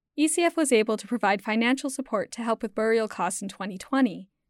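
A woman speaks fairly quickly in a normal speaking voice, her pitch fairly high with ordinary variation. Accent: Canadian. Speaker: podcast host. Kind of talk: scripted narration.

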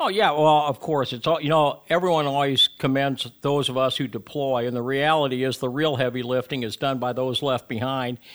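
A man speaks at a fairly quick pace with hardly any pauses, his pitch fairly high and his intonation fairly even. The recording is very clean, with a silent background. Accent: Upper Midwest. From Iowa, Sioux City. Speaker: retired fighter pilot, aviation program director. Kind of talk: radio interview. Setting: radio studio.

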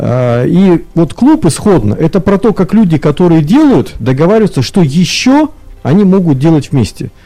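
A man's high pitch makes very wide swings at a moderate pace while his loudness stays very even. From Irkutsk region, Russia. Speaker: business club co-chair. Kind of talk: radio panel discussion. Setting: radio studio.

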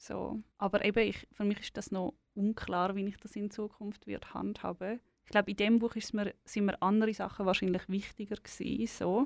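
A woman speaks with a Swiss accent at a moderate pace, her intonation monotone and flat. She leaves hardly any pauses, and the recording is very clean with a silent background. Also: medium pitch for a woman, dry, close sound with no echo. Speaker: author. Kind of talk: interview.

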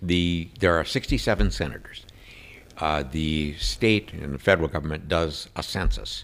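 With an Upper Midwest accent, the voice moves at a moderate pace through very wide pitch swings, with vocal fry. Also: man, very deep, low pitch for a man. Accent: Upper Midwest American. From Minnesota, Saint Paul area. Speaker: state senator. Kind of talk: interview conversation.

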